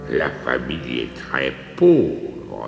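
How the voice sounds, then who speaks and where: Through a clear echo, a man performs a put-on character voice at a very slow pace. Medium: read story. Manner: warm, assured.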